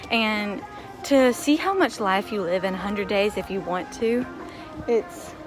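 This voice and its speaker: A woman with an American accent speaks at a moderate pace and medium pitch. Her intonation is lively, with music in the background. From United States. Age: 20s. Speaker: English teacher. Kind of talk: casual vlog talk to camera.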